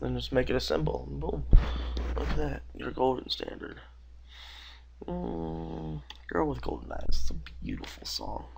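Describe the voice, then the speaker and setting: A man talks at a moderate pace with a very deep, low pitch and fairly even intonation. Long, frequent pauses and audible room echo mark the recording. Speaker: animation critic. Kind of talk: screen-recorded critique.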